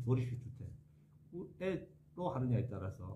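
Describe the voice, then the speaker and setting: With lively intonation, a man speaks at a medium pitch in a dark, mellow tone that is somewhat breathy. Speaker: architect. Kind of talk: interview answer.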